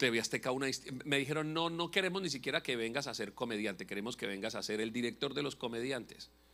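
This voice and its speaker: A man talks at a very fast pace in an animated way. His bright, sharp voice has lively intonation. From Colombia, Bucaramanga; Colombia. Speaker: pastor and comedian; pastor, comedian. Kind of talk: sermon. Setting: church. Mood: humorous, passionate. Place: church. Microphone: handheld.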